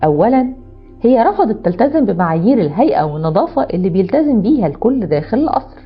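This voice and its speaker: Music plays in the background as a woman with an Egyptian accent speaks at a moderate pace, her pitch swinging very widely. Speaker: storyteller. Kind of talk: storytelling narration.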